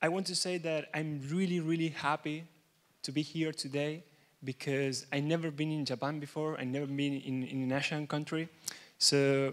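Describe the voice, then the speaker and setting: Speaking in an Argentine accent at a moderate pace, the voice stays monotone and flat on a very clean recording with a silent background. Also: man. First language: Spanish. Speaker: software developer and conference speaker. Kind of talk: keynote talk. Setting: stage with audience. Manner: halting.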